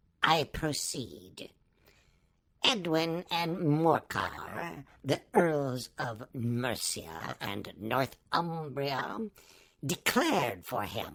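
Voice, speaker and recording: Delivered at a very slow pace, a put-on character voice sits at a low-to-middle pitch. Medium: read story. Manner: pompous, formal.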